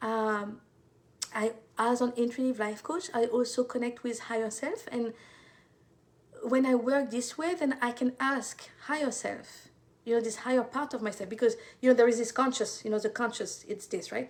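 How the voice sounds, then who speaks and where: In a French accent, a woman speaks with a high pitch and fairly even intonation. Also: moderate pace. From France. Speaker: intuitive life coach. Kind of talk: live stream talk.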